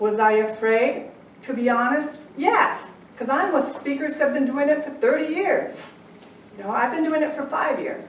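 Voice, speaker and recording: A woman's high-pitched, lively voice at a moderate pace, amid audible room echo and noticeable background noise. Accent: American. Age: 60s. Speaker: angel intuitive and life coach. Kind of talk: inspirational talk. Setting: stage with audience.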